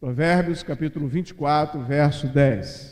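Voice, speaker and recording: Very slowly, a man with a fairly high pitch and a dark, mellow tone talks with fairly even intonation. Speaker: pastor. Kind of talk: sermon. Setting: church.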